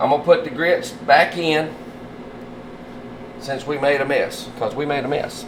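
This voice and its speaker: Through noticeable background noise, a man with a Southern US accent talks fairly slowly in a fairly high voice. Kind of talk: casual cooking video talk to camera.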